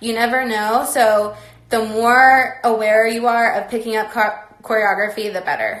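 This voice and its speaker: Amid audible room echo, a woman with an American accent talks at a fairly slow pace and a fairly high pitch. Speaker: former pro dance team member giving advice. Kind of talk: live stream Q&A talk. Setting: online live stream.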